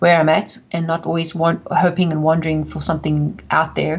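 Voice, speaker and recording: A woman with a South African accent speaks at a fairly low pitch. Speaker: author and speaker. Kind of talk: interview testimony.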